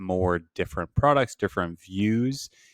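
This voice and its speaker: A man's unremarkable speaking voice, fairly low in pitch, at a moderate pace, with a dry, close sound with no echo and a quiet background. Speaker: online business instructor. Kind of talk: tutorial.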